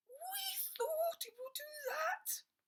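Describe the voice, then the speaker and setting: The speaker uses a put-on character voice at an extremely high pitch with very wide pitch swings. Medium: read story.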